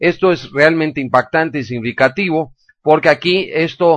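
A man with an ordinary speaking voice, fairly high in pitch with ordinary pitch variation, at a moderate pace in a dry, close sound with no echo and a quiet background. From Mexico. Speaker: news radio host. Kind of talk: news commentary.

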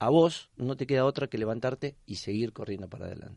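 Recorded dry and close with no echo against a quiet background, a man speaks fairly quickly in an ordinary speaking voice with ordinary pitch variation. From Argentina, La Plata. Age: 50s. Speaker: rugby coach and PE teacher. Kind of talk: interview.

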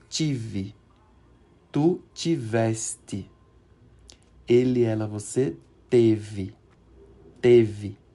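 Very slow and marked by long, frequent pauses, the voice has a dark, mellow tone and ordinary pitch variation. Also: man, medium pitch for a man. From Recife, northeast Brazil. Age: 40s. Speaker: Portuguese teacher. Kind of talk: language lesson. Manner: halting.

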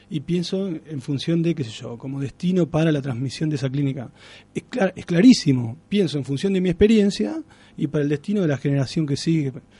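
With a dark, mellow tone, a man speaks fairly quickly in a fairly high voice and with lively intonation. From Argentina, Santa Fe province (Alcorta). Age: 30s. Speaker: writer. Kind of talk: radio interview.

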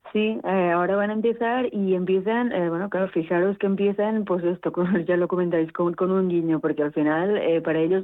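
Her pitch fairly low with ordinary variation, a woman speaks at a fairly quick pace. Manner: halting.

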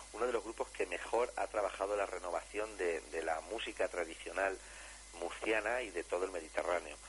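A man keeps a fairly quick pace while noticeable background noise runs behind him. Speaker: radio host presenting folk music. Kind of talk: radio talk show.

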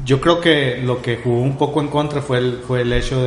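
The recording of a man has audible room echo and noticeable background noise. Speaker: podcast co-host. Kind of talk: casual chat.

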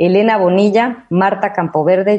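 Speaking fairly slowly, a woman with an Ecuadorian accent has a dark, mellow tone. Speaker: radio host. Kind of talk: casual chat.

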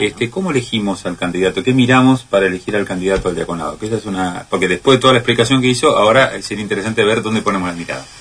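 A man with a fairly low pitch speaks at a very fast pace, with hardly any pauses and ordinary pitch variation. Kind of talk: casual chat. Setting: radio studio.

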